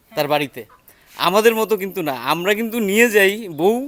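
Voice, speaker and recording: A man talks with ordinary pitch variation. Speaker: travel vlogger. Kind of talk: travel vlog narration and interviews.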